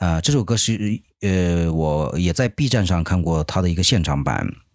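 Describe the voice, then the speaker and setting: Very deep and low, a man's voice shows lively intonation at a moderate pace in a very clean recording with a silent background. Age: 30s. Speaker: podcast host and amateur stand-up comedian. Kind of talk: casual solo monologue. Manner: hesitant, many filler sounds.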